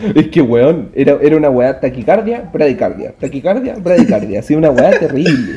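A fairly high-pitched man's voice in a Chilean accent, at a moderate pace with hardly any pauses, very wide pitch swings and very even loudness. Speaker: podcast co-host. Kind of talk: casual chat.

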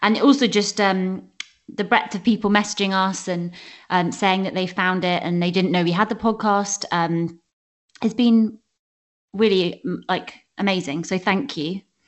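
Her delivery is an ordinary speaking voice, as a woman talks at a moderate pace in a medium pitch with ordinary pitch variation. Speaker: podcast host. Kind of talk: casual chat.

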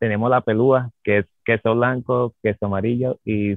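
Fairly even intonation and a fairly slow pace shape an ordinary speaking voice. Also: man. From Venezuela, Caracas. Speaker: chef. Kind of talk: interview on radio show.

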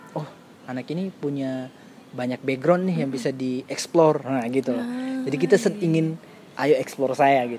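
A man with a fairly high voice speaks at a moderate pace, his pitch varying in an ordinary way, as noticeable background noise runs underneath. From Maluku, eastern Indonesia. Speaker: scholarship mentor. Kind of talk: casual chat.

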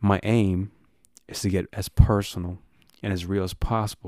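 A man speaks with an American accent in a dark, mellow tone and monotone, flat intonation. The recording is very clean, dry and close, with a silent background and no echo. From Texas, Dallas. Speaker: podcast host. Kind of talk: casual podcast intro monologue.

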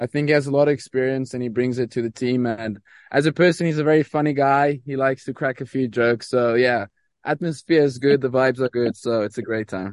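A man at a very fast pace with an American accent, medium pitch and fairly even intonation, in a dry, close sound with no echo. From South Africa. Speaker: professional tennis player.

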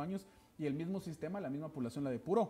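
Somewhat breathy and dark, mellow in tone, a man talks at a very fast pace. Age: young. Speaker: political party secretary general. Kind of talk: TV political interview.

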